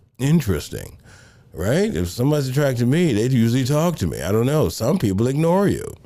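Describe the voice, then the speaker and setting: Through noticeable background noise, a man at medium pitch talks at a fairly quick pace with lively intonation. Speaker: pastor and counseling show host. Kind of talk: advice talk on live show. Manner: conversational, lots of rhetorical right.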